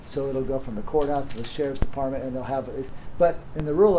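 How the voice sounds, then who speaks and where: Against light background noise, a man speaks with lively intonation and a dark, mellow tone. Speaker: presenter. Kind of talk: lecture. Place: meeting room.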